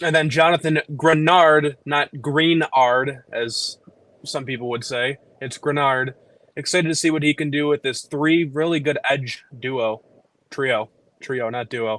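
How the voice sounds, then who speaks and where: With fairly even intonation, a man speaks fairly slowly at a fairly high pitch, the sound dry and close with no echo. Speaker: football fan guest. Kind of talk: casual chat.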